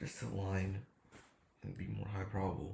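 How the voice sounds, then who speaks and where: A man's fairly low voice with vocal fry and a dark, mellow tone, at a moderate pace with fairly even intonation. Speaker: day trader. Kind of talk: casual trading recap. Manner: casual slangy.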